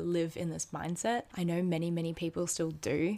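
Over a silent background in a very clean recording, a woman with an Australian accent speaks at a fairly low pitch. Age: 20s. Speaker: podcast host. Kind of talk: casual monologue. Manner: animated.

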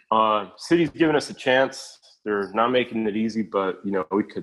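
A man with a fairly low voice talks at a moderate pace, his pitch varying in an ordinary way against a quiet background. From Mexico (Aguascalientes), raised in Long Beach area, California. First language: Spanish. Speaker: podcast guest. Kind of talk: casual chat.

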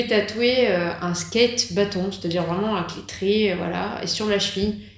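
Over noticeable background noise and audible room echo, a woman with a medium pitch talks at a fairly slow pace, using ordinary pitch variation and hardly any pauses. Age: 30s. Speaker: tattoo artist. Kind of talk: interview. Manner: hesitant, many fillers.

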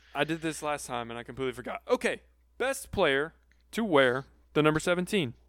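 A man with a plain, everyday voice talks at a fairly quick pace, his fairly high pitch moving in lively intonation, in a very clean recording with a silent background. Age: 20s. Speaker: sports podcast host. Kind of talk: casual chat.

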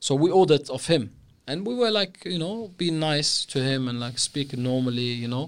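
This is a plain, everyday voice with lively intonation at a moderate pace. The recording is very clean, with a silent background. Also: man, fairly high pitch for a man. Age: young. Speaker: podcast host. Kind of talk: casual interview.

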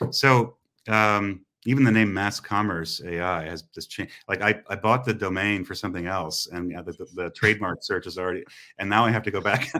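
A man with a US Midwestern accent, fairly low pitch and a bright, sharp tone, talking at a fairly quick pace with big shifts in loudness, on a very clean recording with a silent background. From US Midwest, Indiana. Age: 40s. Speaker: retail technology entrepreneur. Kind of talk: interview conversation.

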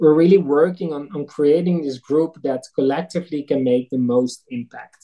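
With a Dutch accent, a man speaks at a moderate pace and a fairly high pitch, his tone dark and mellow with big swings in loudness. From eastern Netherlands. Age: 30s. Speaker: food nonprofit director. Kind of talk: interview. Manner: halting.

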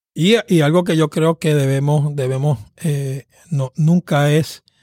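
In a dry, close sound with no echo and a silent background on a very clean recording, a man speaks very slowly at a fairly high pitch. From Puerto Rico, Caguas. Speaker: pastor and seminary professor. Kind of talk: interview on preaching. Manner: halting, repeats words.

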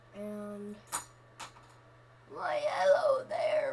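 The speaker adopts a put-on character voice. It sits high in pitch. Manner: playful, exaggerated greeting.

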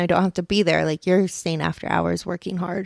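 A woman talks at a moderate pace and a medium pitch in an unremarkable speaking voice. The sound is dry and close with no echo, in a very clean recording with a silent background. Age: 30s. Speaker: podcast co-host and mother. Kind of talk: casual chat. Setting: home podcast with spouse.

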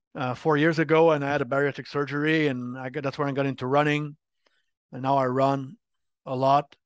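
A man talks at a fairly quick pace and fairly high pitch in a Quebec accent. His intonation is monotone and flat against a quiet background. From Quebec, Montreal. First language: French. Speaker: game industry marketing executive. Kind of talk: interview.

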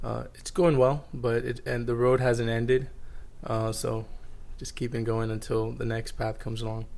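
A man speaks at a moderate pace and medium pitch, with fairly even intonation and audible room echo. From Florida, US (moved from Dubai at 13). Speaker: finance professional. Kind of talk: casual interview.

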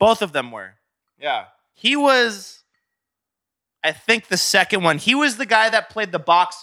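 A man speaks in a raised, projected voice with a bright, sharp tone, his high pitch making very wide swings. The pace is fairly slow, and the recording is very clean with a silent background. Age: 30s. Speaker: musician. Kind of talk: casual chat. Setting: studio.

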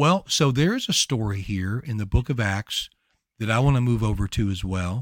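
Lively intonation marks a man with a Louisiana accent speaking at a moderate pace and medium pitch. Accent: Louisiana Southern US. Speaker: prayer ministry podcaster. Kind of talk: bible teaching in casual video chat.

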